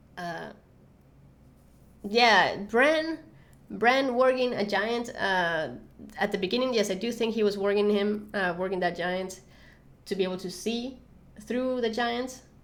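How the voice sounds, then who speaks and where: Audible room echo surrounds a woman of medium pitch who talks at a fairly slow pace with ordinary pitch variation and long, frequent pauses. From Venezuela. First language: Spanish. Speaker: YouTuber, TV show commentator. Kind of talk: live stream Q&A. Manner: halting, many fillers.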